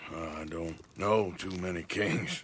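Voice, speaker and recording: A man's put-on character voice, very deep and low, raspy, with monotone, flat intonation at a fairly slow pace. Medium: video game.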